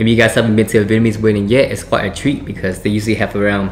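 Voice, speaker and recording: Over faint music in the background, a man talks in a fairly low voice. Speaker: vlogger. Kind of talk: casual vlog chat. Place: home room. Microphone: phone near.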